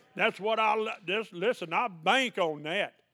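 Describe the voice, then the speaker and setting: This man talks with a Southern US accent at a fairly slow pace. His voice has a high pitch. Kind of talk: sermon. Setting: church. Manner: animated.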